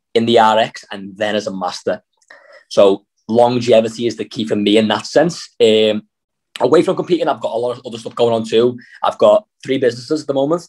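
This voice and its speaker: A man with a Liverpool accent speaks fairly quickly at a medium pitch, with ordinary pitch variation. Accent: Scouse. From Liverpool, England. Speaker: CrossFit athlete and coach. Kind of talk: interview.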